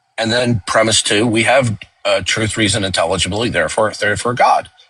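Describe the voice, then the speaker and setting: With music in the background, a man rattles off his words at a very fast pace. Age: 60s. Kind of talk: debate-style discussion. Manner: halting.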